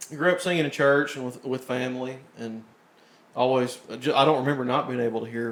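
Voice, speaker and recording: A man talks at a fairly quick pace with fairly even intonation, long and frequent pauses, and noticeable background noise. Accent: Appalachian. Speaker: country music singer. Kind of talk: casual chat. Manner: halting.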